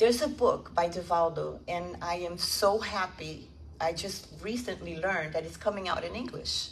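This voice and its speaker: A woman's fairly low-pitched voice at a moderate pace, with ordinary pitch variation, big swings in loudness and noticeable background noise. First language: not English. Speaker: spiritist lecturer. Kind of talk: lecture. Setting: stage with audience.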